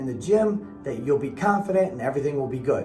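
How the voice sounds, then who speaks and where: With music in the background, a man talks using very wide pitch swings. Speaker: personal trainer. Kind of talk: fitness advice talk to camera.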